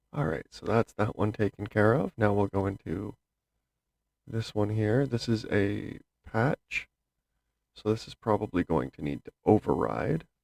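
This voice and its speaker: A man's fairly low pitch with vocal fry, at a fairly slow pace with long, frequent pauses. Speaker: gaming tutorial youtuber. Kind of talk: tutorial. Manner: casual, with fillers.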